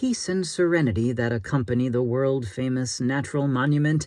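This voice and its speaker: In an unremarkable speaking voice of medium pitch, a man talks at a moderate pace. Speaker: audiobook narrator and voice actor. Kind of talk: audiobook narration. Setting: home closet studio.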